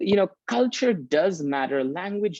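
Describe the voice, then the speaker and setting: A man talks at a moderate pace with lively intonation. The sound is dry and close, with no echo. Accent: Bengali. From India, Calcutta, raised also in Paris and Geneva. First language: Bengali. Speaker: leadership course facilitator. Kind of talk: video interview. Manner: hesitant with frequent repetitions.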